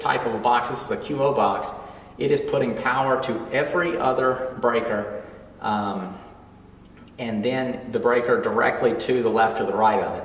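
Amid audible room echo and light background noise, a man talks at a moderate pace with ordinary pitch variation. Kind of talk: tutorial. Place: home room. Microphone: camera far.

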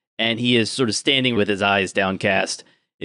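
Over a quiet background, the speaker uses an unforced reading voice with fairly even intonation.

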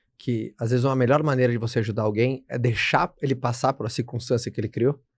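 In a Brazilian accent, a man speaks in a somewhat breathy voice. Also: quiet background. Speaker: podcast host. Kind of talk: casual interview chat. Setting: studio. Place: studio. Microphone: studio mic.

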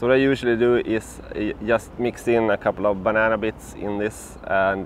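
Over light background noise, a man speaks at a fairly low pitch with fairly even intonation, the sound dry with no echo. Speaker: bikepacking travel vlogger. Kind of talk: casual vlog chat. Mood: relaxed, cheerful. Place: garden. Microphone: lapel.

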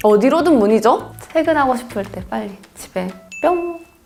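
A high-pitched woman's voice at a moderate pace, with very wide pitch swings and music in the background. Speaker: voice actor. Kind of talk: interview answer.

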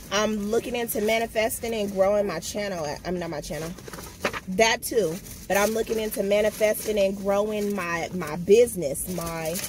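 A woman speaks at a moderate pace with ordinary pitch variation, her dry sound carrying no echo over light background noise. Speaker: vlogger. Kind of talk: casual vlog chat. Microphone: phone near.

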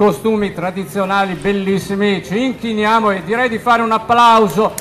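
A man speaks in a high pitch with fairly even intonation. Noticeable background noise runs underneath. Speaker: event commentator. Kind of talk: live parade commentary. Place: street.

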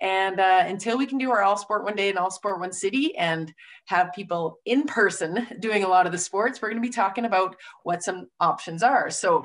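The woman keeps a moderate pace. Her pitch shows ordinary variation. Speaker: webinar host. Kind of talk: host introduction. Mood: upbeat and friendly. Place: office. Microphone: video call.

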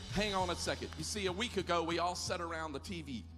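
A man's moderate-paced speech is accompanied by clear music in the background. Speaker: pastor. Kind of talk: sermon. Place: stage. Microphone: handheld.

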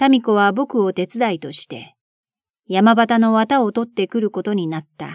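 In a calm, soothing tone, a woman speaks at a fairly slow pace and medium pitch, recorded dry and close with no echo on a very clean track with a silent background. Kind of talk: audiobook reading of a classic novel.

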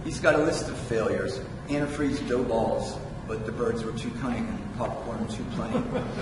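Over noticeable background noise and audible room echo, a man talks at a moderate pace. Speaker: poet. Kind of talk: poet reading own prose poem aloud, measured, with wry asides. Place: hall.

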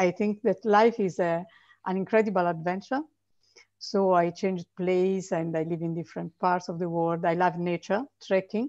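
A woman at medium pitch is heard in a dry sound with no echo and a quiet background. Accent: Italian. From Italy. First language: Italian. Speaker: author. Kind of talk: interview. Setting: video call. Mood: warm, enthusiastic. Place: home room. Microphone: video call.

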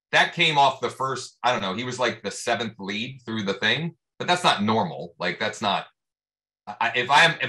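A man speaks at a moderate pace with lively intonation. His tone is bright and sharp. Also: quiet background. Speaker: real estate agent; mastermind group host. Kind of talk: casual group discussion. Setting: video call. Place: office. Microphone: video call.

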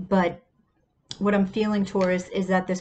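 A woman talks at a moderate pace against light background noise. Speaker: tarot reader. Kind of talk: casual tarot reading monologue. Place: home room. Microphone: earbuds.

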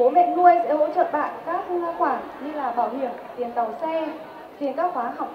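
A woman speaks with a high pitch. Crowd noise can be heard in the background. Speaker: language center director presenter; presenter. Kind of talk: formal presentation. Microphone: handheld.

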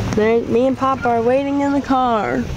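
Someone talks at a slow pace over loud background noise. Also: woman.

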